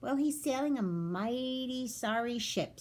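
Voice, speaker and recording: In a put-on character voice, a woman talks fairly slowly at a high pitch. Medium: read story.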